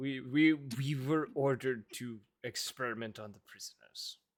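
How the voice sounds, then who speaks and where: Growling in a put-on character voice, a man speaks at a medium pitch and a moderate pace. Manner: reluctant, grudging.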